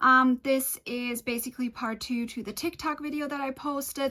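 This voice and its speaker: A woman speaks in a raised, projected voice with a bright, sharp tone. Her pitch is high, with ordinary variation. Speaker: manifestation and law of assumption video creator. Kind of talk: casual talk to camera, personal-development advice.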